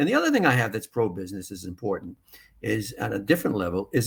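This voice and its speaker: Very wide pitch swings in a somewhat breathy male voice. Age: 60s. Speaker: town mayor. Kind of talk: interview. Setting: live online forum. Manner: repetitive false starts.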